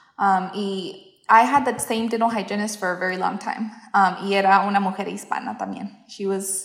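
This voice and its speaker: There is audible room echo. A woman speaks at a fairly slow pace, medium in pitch. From US Midwest, southwest Kansas. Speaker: dental hygienist. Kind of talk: casual interview.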